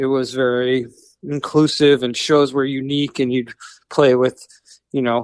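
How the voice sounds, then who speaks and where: With an American accent, a man uses a normal speaking voice at a fairly high pitch and a moderate pace, the sound dry and close with no echo. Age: 40s. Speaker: rock musician. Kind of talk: interview.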